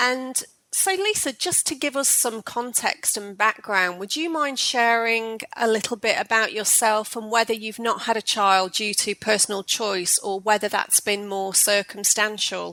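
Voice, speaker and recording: A woman's fairly high, bright and sharp voice with ordinary pitch variation, a fairly slow pace and hardly any pauses, on a very clean recording with a silent background. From northern England. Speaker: podcast host. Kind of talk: podcast interview.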